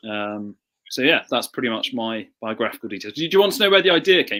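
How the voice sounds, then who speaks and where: In an English accent, a man with a medium pitch and a bright, sharp tone speaks at a very fast pace, with very wide pitch swings and big swings in loudness. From southern England. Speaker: author and historian. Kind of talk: interview. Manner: halting.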